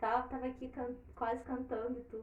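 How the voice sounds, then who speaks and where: A woman's high-pitched voice at a moderate pace, with audible room echo. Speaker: storyteller and live stream host. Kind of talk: casual chat before story reading. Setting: online live stream.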